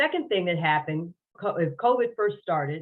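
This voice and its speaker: Pitch variation is ordinary and the pace moderate in an unremarkable speaking voice. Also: woman. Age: 60s. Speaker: podcast guest sharing health story. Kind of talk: interview testimony.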